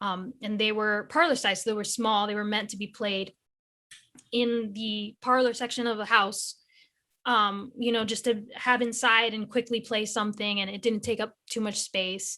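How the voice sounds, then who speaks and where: A woman's fairly high, bright, sharp voice, monotone and flat, at a moderate pace, on a very clean recording with a silent background. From New England, US. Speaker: guitarist and illustrator. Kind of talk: podcast interview.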